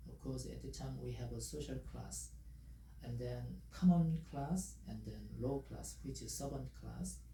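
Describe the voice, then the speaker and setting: A man in a Korean accent speaks at a fairly slow pace with a very deep, low pitch, a flat monotone, vocal fry and a dark, mellow tone, with audible room echo around him. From South Korea. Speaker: language teacher. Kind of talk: tutorial. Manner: halting, many fillers.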